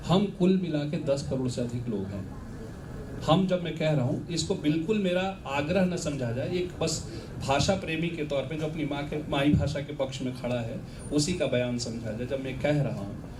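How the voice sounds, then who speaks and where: Against noticeable background noise and audible room echo, a man with a Bihari accent speaks at a moderate pace with a fairly high pitch and ordinary pitch variation. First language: Bhojpuri (speaking Hindi). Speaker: professor, interviewer. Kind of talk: literary festival conversation.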